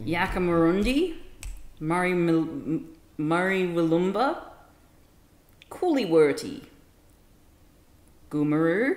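Her fairly low voice lively in intonation, a woman speaks at a very slow pace with long, frequent pauses and audible room echo. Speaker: streamer. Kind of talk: reading aloud.

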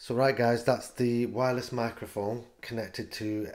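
Spoken at a moderate pace over a quiet background, the voice stays monotone and flat. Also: man. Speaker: gadget reviewer. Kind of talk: tutorial. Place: kitchen. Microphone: handheld.

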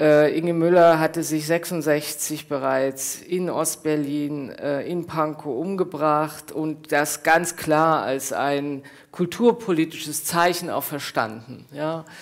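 Over a quiet background, a woman with a very deep, low pitch speaks very slowly and with fairly even intonation. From East Germany. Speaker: author and professor; professor. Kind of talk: reading aloud; panel discussion and reading. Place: hall.

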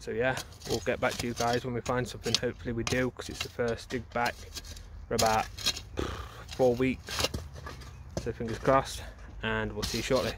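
A man's fairly quick speech comes through dry with no echo, noticeable background noise behind him. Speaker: bottle digging vlogger. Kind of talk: casual vlog chat. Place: open country. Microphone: phone near.

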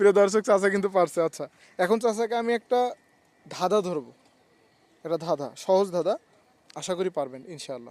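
A man speaks with a high pitch and lively intonation. The sound is dry and close, with no echo. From Bangladesh, Rangpur region. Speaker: vlogger interviewing locals. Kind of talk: street interview, casual chat.

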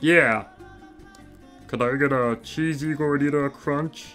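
A put-on character voice with a low-to-middle pitch moves at a fairly slow pace. Clear music plays in the background. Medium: read story. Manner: aggressive, irritated.

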